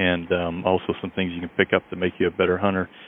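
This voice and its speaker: A man with a very deep, low pitch. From Illinois, US. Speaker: wildlife biologist. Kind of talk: interview.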